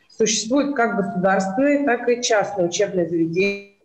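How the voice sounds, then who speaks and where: Audible room echo surrounds a woman at a medium pitch. She talks at a fairly quick pace with ordinary pitch variation. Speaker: college educator. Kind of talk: presentation. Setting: video call. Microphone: video call.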